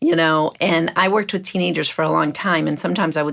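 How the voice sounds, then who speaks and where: Talking at a very fast pace with vocal fry, a woman has a very deep, low pitch, captured in a very clean recording with a silent background. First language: not English. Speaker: mindset coach and podcast host. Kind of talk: podcast conversation.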